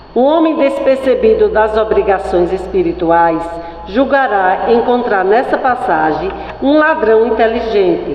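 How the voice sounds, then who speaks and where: A woman's fairly high voice with very wide pitch swings and very even loudness, plus audible room echo and noticeable background noise. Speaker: spiritist center worker. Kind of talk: reading aloud. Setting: spiritist center with audience.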